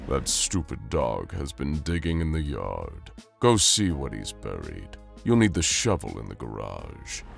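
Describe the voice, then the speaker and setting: A man's cartoonish character voice with clear music in the background. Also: moderate pace. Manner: commanding, cold.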